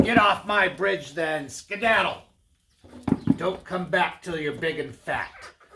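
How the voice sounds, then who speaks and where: A man puts on a growling character voice, pitched high. He delivers it at a fairly slow pace. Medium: read story. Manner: menacing, growling.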